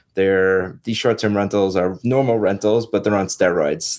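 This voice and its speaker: A New York accent on a very clean recording with a silent background. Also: man. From New York (Long Island). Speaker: real estate agent and investor. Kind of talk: podcast interview.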